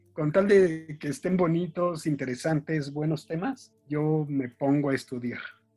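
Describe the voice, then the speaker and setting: There is music in the background as a man speaks at a fairly slow pace with hardly any pauses. His pitch is fairly high, with ordinary pitch variation. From Mexico. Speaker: children's author and book designer. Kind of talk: casual interview chat.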